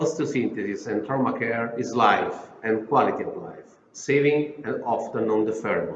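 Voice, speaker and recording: There is audible room echo as a man talks at a moderate pace with ordinary pitch variation. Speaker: health agency director and orthopedic surgeon. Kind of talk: prepared speech. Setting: video recording.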